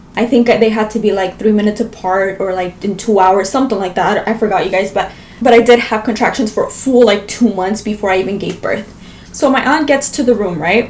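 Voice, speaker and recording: A woman's fairly high voice at a fairly quick pace, with ordinary pitch variation over noticeable background noise. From Las Vegas, US. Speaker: vlogger. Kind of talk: storytelling vlog.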